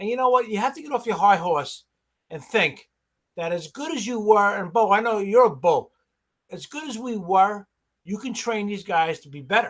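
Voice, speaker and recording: A man with a New York accent speaks at a moderate pace in a high voice for a man. His intonation is lively, and his loudness swings widely. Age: 60s. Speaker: pressure washing business owner. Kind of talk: casual chat.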